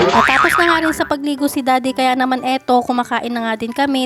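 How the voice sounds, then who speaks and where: Over music in the background, a woman talks in a high pitch. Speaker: vlogger and stay-at-home mother. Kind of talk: vlog voice-over narration. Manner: casual, chatty.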